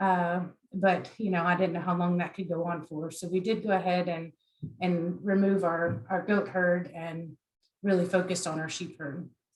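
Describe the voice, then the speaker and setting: At a moderate pace, a woman with an American accent speaks in a fairly low, somewhat breathy voice with monotone, flat intonation. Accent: Southern US, comes through at times. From US South, South Carolina (Beaufort). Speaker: agriculture extension specialist. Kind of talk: online workshop presentation. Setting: online presentation.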